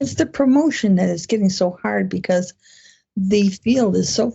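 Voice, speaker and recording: Her pitch swings very widely as this woman talks at a moderate pace in a somewhat breathy voice. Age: 70s. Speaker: romance author. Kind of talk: interview. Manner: halting.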